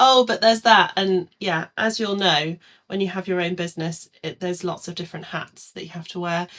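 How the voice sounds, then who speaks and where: Fairly quick and in an English accent, a woman speaks with fairly even intonation and big swings in loudness. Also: medium pitch for a woman. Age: 40s. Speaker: calligrapher. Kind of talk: casual chat.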